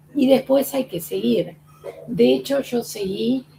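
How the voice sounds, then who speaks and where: A woman with a fairly high pitch speaks at a very slow pace over noticeable background noise. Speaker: former patient. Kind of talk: testimony.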